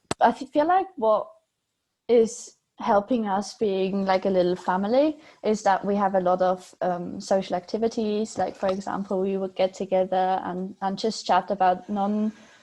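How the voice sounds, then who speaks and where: A woman with a German accent speaks at a medium pitch and moderate pace, her dark, mellow tone carrying fairly even intonation. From Switzerland. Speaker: PhD student. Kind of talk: interview. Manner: hesitant, many fillers.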